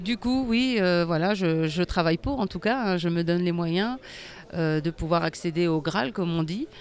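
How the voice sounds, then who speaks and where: A woman with a fairly low pitch speaks at a fairly slow pace. Her loudness stays very even, with ordinary pitch variation. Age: 40s. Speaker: para sitting volleyball athlete. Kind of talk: interview. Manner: halting, many hesitations.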